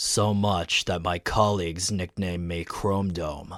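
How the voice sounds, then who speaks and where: Here is a put-on character voice. It moves at a fairly slow pace. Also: man. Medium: audio drama. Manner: nervous.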